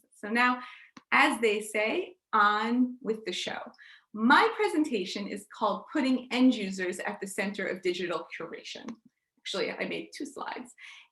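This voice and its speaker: Speaking at a moderate pace with an American accent, a woman has a fairly high pitch, ordinary pitch variation, a bright, sharp tone and big swings in loudness, all with audible room echo. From United States. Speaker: digital curator and session host. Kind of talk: conference presentation.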